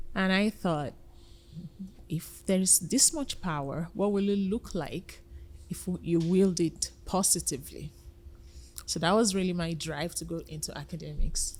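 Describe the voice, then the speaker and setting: A woman's somewhat breathy, fairly low voice at a fairly slow pace, with ordinary pitch variation and long, frequent pauses. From Nigeria. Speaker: nonprofit founder, former biochemistry lecturer. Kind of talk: podcast interview.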